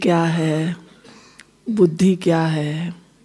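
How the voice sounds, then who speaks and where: Her tone dark and mellow, a woman speaks in a monotone, flat intonation. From Himachal Pradesh, India. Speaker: spiritual teacher. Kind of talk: spiritual talk. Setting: hall with live audience. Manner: conversational, addresses audience directly.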